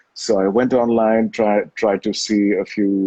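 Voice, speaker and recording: With a British accent, a man of fairly low pitch talks at a fairly slow pace in a monotone, flat intonation. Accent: clipped, British-sounding English. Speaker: actor. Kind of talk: interview. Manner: hesitant with many fillers; articulate, measured.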